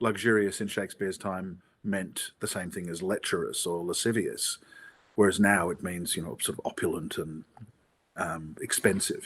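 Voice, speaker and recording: A man with an Australian accent and a fairly low pitch speaks at a moderate pace, his intonation fairly even but his loudness swinging widely. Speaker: theatre actor. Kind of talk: interview.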